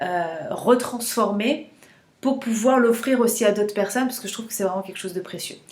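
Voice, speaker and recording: The speaker is a woman. Room echo is audible. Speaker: menstrual cycle coach. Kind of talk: casual vlog talk to camera. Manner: hesitant, many fillers and repetitions.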